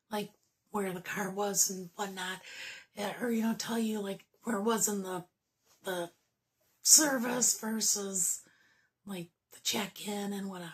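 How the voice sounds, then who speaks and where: A woman with a medium-pitched, somewhat breathy voice speaks at a fairly slow pace, leaving long, frequent pauses. Her intonation stays fairly even while her loudness swings widely. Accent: American. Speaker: YouTuber / vlogger. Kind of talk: casual chat. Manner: hesitant, many fillers.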